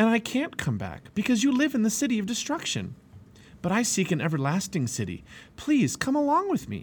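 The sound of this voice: Doing a put-on character voice, a man talks high-pitched at a fairly quick pace with a slightly husky edge. His pitch swings very widely.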